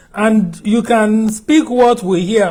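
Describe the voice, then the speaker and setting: A man speaks in a Nigerian accent with a high pitch. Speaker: TV talk show host. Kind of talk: interview. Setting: studio.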